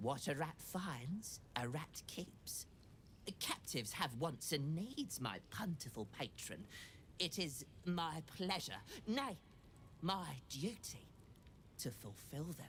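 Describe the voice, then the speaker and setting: A put-on character voice at a middle pitch moves at a fairly slow pace over clear background noise. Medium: video game. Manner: showy, flowery salesman patter.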